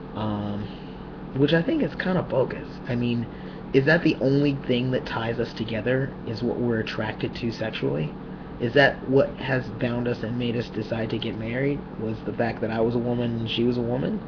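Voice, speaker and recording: A soft-spoken man talks at a moderate pace with ordinary pitch variation. Room echo is audible, and background noise is noticeable. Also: medium pitch for a man. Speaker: vlogger. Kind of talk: personal video diary.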